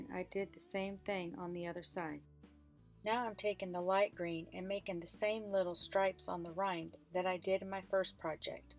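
Over faint background music, a woman speaks at a moderate pace with fairly even intonation in a dry recording with no echo. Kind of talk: tutorial. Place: car.

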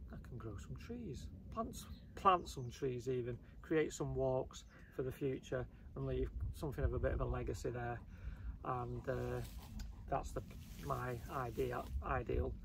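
Very deep and low in pitch, a man speaks at a fairly slow pace with very wide pitch swings and long, frequent pauses. The sound is dry with no echo, over noticeable background noise. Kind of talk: casual vlog chat. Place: open country. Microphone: camera far.

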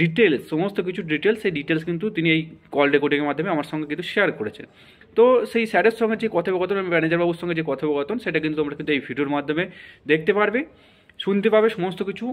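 Ordinary pitch variation from a man with a high-pitched voice. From West Bengal, Katwa area; West Bengal. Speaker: YouTube education channel host; education channel host. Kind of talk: YouTube intro and outro addressing viewers. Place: home room. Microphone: phone near.

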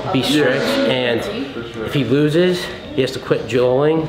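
A man talks at a fairly slow pace while loud noise fills the background. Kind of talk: casual vlog chat. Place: hall. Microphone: camera far.

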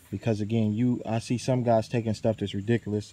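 Fairly low-pitched and monotone, a man speaks at a fairly quick pace with flat intonation in a dry sound with no echo. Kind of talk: tutorial. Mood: relaxed, opinionated. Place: forest. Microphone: phone near.

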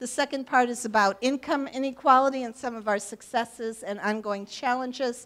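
A woman's high-pitched voice with fairly even intonation at a moderate pace. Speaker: local politician giving a talk. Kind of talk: public talk with slides. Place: hall.

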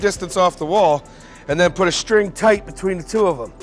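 Faint music sits in the background. Over it, a man speaks. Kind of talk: tutorial. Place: factory. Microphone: lapel.

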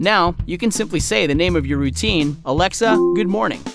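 With music playing behind him, a man delivers his words at a fairly quick pace. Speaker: voice actor. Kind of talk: explainer video narration.

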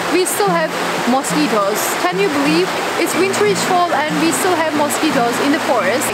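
Loud noise fills the background. The speaker talks at a fairly quick pace. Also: woman. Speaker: vlogger. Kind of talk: casual vlog chat. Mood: playful and expressive. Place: forest.

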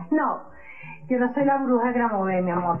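A woman with a high pitch speaks over faint music in the background. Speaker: comedy sketch actor. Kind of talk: comedic sketch dialogue. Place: studio.

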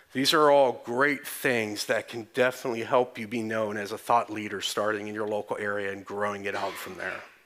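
A man talks at a fairly quick pace with hardly any pauses and fairly even intonation. He has an American accent. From Texas. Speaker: conference speaker. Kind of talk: conference talk. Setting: stage with audience.

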